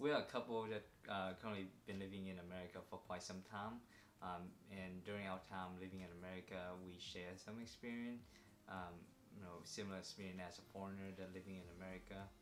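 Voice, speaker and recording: Fairly quick and flat in a monotone, a man's very deep, low voice carries audible room echo. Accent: Vietnamese. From Vietnam. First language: Vietnamese. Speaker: vlogger. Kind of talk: casual chat. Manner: hesitant, many fillers.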